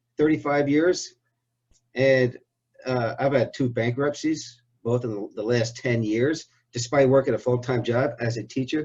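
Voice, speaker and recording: Somewhat breathy, this voice moves at a fairly slow pace with fairly even intonation. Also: man, medium pitch for a man. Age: 60s. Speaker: interviewer. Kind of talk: interview.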